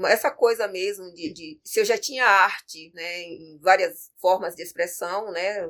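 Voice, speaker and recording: A woman's pitch swings very widely. She talks at a fairly slow pace. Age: 50s. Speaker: capoeira master and arts educator. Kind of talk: interview.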